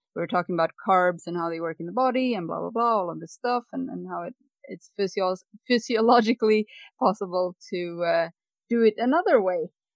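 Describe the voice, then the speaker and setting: Speaking fairly quickly with a Swedish accent, a woman uses a medium pitch with ordinary pitch variation and big swings in loudness. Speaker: dietary coach, retreat organiser. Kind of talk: interview. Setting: home podcast studio.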